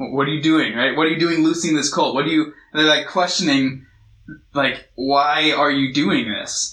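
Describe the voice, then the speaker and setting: An ordinary speaking voice from a man with an American accent, fairly high in pitch, with fairly even intonation at a moderate pace. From US West Coast, Long Beach, California. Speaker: youth pastor. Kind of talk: sermon. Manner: casual, conversational.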